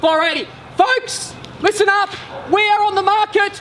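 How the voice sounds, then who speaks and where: A man's raised, projected voice at an extremely high pitch, fairly slow and fairly even in intonation, with noticeable background noise. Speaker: real estate auctioneer. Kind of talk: auction calling.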